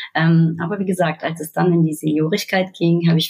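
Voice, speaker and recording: Her voice is fairly low-pitched and somewhat breathy. The woman keeps a moderate pace with monotone, flat intonation. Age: 30s. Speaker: fintech key account manager. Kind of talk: casual interview.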